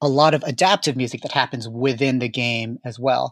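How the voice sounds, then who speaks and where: Recorded with a dry, close sound and no echo, a man speaks at a moderate pace in an unremarkable speaking voice at medium pitch. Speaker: composer. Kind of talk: interview.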